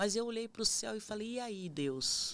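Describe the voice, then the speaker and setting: Talking fairly slowly, a woman shows ordinary pitch variation. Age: 50s. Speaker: missionary. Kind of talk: testimony.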